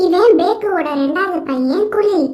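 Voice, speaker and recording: In a put-on character voice, a woman squeaks at an extremely high pitch with audible echo. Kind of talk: casual comic storytelling. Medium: cartoon. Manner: breezy, conversational.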